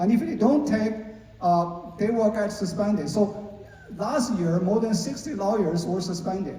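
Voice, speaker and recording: Against noticeable background noise and audible room echo, a man with a Chinese accent speaks fairly slowly in a high voice with ordinary pitch variation. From China. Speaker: lawyer. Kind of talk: panel discussion. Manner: halting, many fillers.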